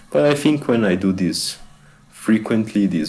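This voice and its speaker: With a non-native accent, a man is talking. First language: not English. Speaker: fitness vlogger. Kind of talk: voiceover narration of own stretching routine. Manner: halting, with hesitations and repeated words. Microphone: bad microphone.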